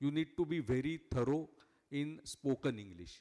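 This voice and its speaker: In a Marathi accent, a man speaks at a moderate pace with a fairly high pitch. His intonation is lively. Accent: Indian English, Marathi. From India, Maharashtra. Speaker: cost accountant, chief guest speaker. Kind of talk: speech at prize ceremony. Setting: large hall with audience. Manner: hesitant, frequent 'uh' and 'correct?'.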